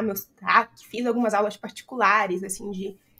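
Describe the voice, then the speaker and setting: A woman speaks at a moderate pace with a fairly high pitch. Her tone is bright and sharp, and her intonation is flat and monotone. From Brazil. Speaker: accountant and business founder. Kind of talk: podcast interview. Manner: casual, many fillers.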